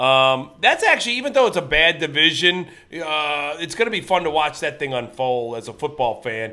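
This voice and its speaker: A man with an American accent speaks at a fairly high pitch, his tone bright and sharp. The recording is very clean, with a silent background. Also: moderate pace, hardly any pauses. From Ohio, Lorain near Cleveland. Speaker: comedian. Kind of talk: casual chat.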